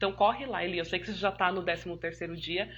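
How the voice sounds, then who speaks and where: With vocal fry and fairly even intonation, a woman talks at a medium pitch. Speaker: physiotherapist. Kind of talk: live stream Q&A talk. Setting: online live stream. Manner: fast; warm, chatty.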